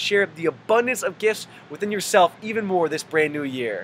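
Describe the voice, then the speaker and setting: A raised, projected voice carries lively intonation. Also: man. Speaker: personal trainer and lifestyle coach. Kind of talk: motivational video message. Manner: fast; animated.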